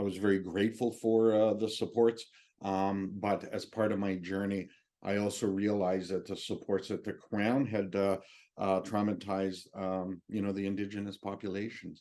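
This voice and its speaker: A man with a Canadian accent, fairly low pitch and a dark, mellow tone, monotone and flat in intonation at a moderate pace against a quiet background. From Northwest Territories, Canada. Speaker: military veteran and speaker. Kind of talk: public speech. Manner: halting.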